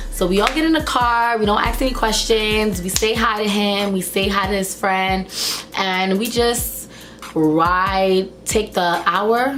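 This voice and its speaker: A woman's animated voice at a medium pitch and moderate pace, with ordinary pitch variation and very even loudness, audible room echo and music in the background. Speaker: YouTuber. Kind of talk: storytime vlog.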